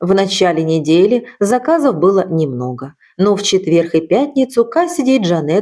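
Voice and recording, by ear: A passage is read aloud in a natural voice.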